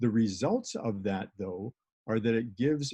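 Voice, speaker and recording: A man's medium-pitched voice with a dark, mellow tone, ordinary pitch variation and a moderate pace, in a dry, close sound with no echo. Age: 70s. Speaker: wellness product distributor. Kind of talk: webinar presentation.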